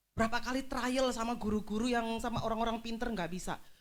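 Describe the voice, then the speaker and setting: A woman at a fairly high pitch and moderate pace, with audible room echo. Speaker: pastor. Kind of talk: sermon.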